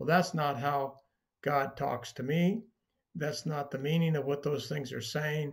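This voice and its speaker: Speech unfolds at a fairly slow pace. The voice is somewhat breathy. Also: man. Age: 70s. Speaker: bible teacher. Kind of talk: teaching talk. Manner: conversational with frequent fillers.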